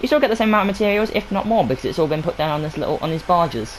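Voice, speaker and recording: A man mumbles in a high pitch. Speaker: gaming youtuber. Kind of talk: game map showcase walkthrough. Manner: mumbling.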